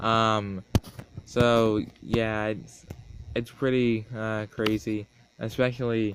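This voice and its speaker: A man speaks quietly. His pitch sits fairly low. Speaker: wrestling predictions vlogger. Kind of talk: casual monologue. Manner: hesitant.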